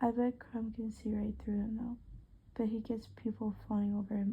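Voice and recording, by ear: Someone reads a text aloud in a natural voice.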